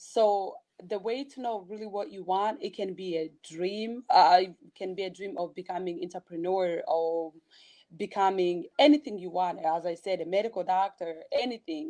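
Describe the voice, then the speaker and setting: Her dark, mellow voice sits at a medium pitch with ordinary pitch variation and a moderate pace. Loudness swings widely against a quiet background. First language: not English. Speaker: blogger and motivational speaker. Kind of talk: interview.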